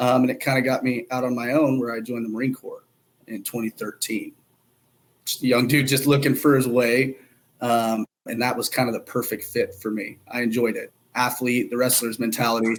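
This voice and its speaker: A man with an American accent, medium-pitched and flat in a monotone, at a fairly quick pace. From Oklahoma, US (small town near Stillwater). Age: 20s. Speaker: cannabis business CEO, Marine veteran. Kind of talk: podcast interview. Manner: casual.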